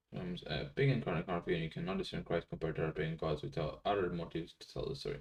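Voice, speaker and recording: This man talks at a very fast pace with very wide pitch swings and a somewhat breathy sound. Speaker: live streamer teaching paleography. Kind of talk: casual live-stream chat. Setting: live stream.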